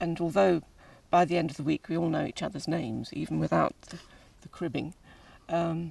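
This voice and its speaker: This woman talks at a very fast pace with an English accent. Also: very clean recording, silent background. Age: 60s. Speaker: pilgrim and family carer. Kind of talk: interview.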